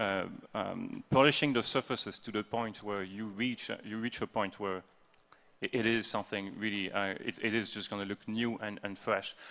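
A bright, sharp voice with a French accent moves at a moderate pace with fairly even intonation. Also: man, fairly low pitch for a man. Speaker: game developer, art/design lead; panelist. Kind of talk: convention panel talk. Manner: halting, many fillers and repetitions. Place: hall.

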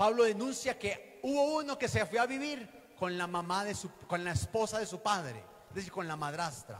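The pace is neither fast nor slow. Intonation moves in a lively way. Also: man, high pitch for a man. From Colombia, western Antioquia. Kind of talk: teaching talk at a religious conference. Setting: hall with live audience. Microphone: handheld.

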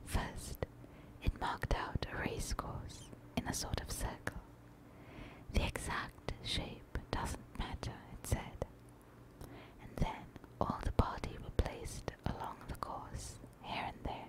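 Whispering at a very slow pace with long, frequent pauses, over noticeable background noise. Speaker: ASMR creator. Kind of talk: bedtime story reading. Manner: soft-spoken.

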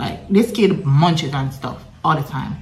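A woman with a very deep, low pitch speaks in a room with audible echo and light background noise. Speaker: mother vlogger. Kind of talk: casual vlog chat. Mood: relaxed, chatty storytelling. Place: home room. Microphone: phone near.

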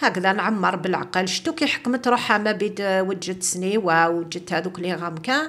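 Someone speaks with an Algerian accent at a moderate pace, using ordinary pitch variation. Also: woman. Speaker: cooking video host. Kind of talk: cooking tutorial. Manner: casual, mixing French. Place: kitchen. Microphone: phone near.

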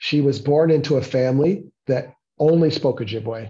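A man's somewhat breathy, dark, mellow voice with a Canadian accent and fairly even intonation. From Toronto area, Ontario, Canada. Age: 50s. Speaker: guest lecturer. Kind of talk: lecture. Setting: meeting room with audience. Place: office. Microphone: earbuds.

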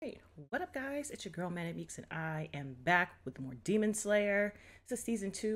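A woman talks at a fairly quick pace. Her intonation is lively. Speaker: reaction channel host. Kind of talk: casual vlog chat. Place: home room.

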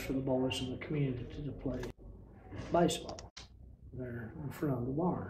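A man with an Appalachian accent and ordinary pitch variation, light background noise and audible room echo. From western North Carolina mountains. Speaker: retired rural mail carrier. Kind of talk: oral history interview answer. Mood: warm nostalgic reminiscing. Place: hall.

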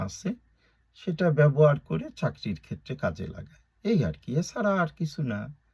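A somewhat breathy man speaks in a fairly high voice with very wide pitch swings. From Bangladesh, Gopalganj (Tungipara). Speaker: YouTuber, political commentator. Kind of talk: political monologue vlog. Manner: animated, colloquial.

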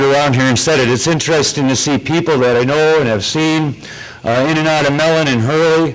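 Pitch varies in an ordinary way as the words come at a moderate pace. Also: man. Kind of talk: public testimony. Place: hall. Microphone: handheld.

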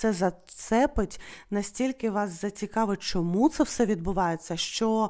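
A woman with a normal speaking voice talks at a fairly slow pace and a fairly high pitch, with ordinary pitch variation, in a very clean recording over a silent background. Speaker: wax-casting fortune teller. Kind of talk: fortune-telling video monologue.

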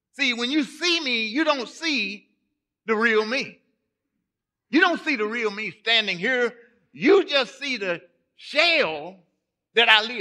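A man with a Southern US accent speaks in a raised, projected voice at an extremely high pitch, bright and sharp in tone, animated, with lively intonation. He goes at a fairly slow pace with long, frequent pauses against a quiet background. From Texas. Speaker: pastor. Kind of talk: sermon. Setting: church. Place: church. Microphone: podium.

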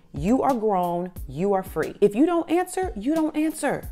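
Over faint music in the background, a woman talks at a moderate pace. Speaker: motivational vlogger. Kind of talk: motivational talk to camera. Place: home room. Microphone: lapel.

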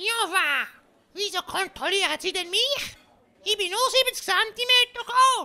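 A female-sounding, put-on character voice pitched extremely high. It moves at a fairly slow pace with long, frequent pauses. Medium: audio drama. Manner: cheeky, indignant.

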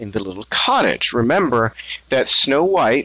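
Reading aloud in a natural voice

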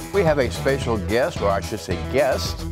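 A man at a moderate pace, clear music in the background. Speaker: mayor and TV magazine host. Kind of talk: casual talk to camera. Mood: cheerful, playful. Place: meeting room.

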